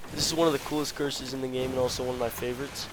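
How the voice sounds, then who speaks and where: A man speaks with fairly even intonation. Background noise is noticeable. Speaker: gaming video creator. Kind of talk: tutorial. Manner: casual, with filler words.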